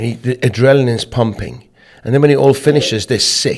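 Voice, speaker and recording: A man talks at medium pitch and a fairly quick pace, with lively intonation, in an ordinary speaking voice. The recording is very clean, with a silent background. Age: 50s. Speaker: business owner. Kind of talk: interview.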